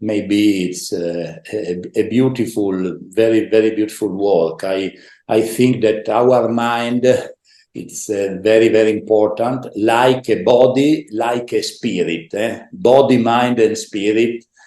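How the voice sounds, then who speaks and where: With an Italian accent, a man speaks very slowly at a medium pitch with ordinary pitch variation. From northeast Italy, Udine. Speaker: former volleyball player and coach. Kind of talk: interview. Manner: halting.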